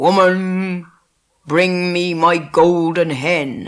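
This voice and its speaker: A man bellows in a put-on character voice, pitched high and delivered at a very slow pace. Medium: read story. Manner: loud, commanding.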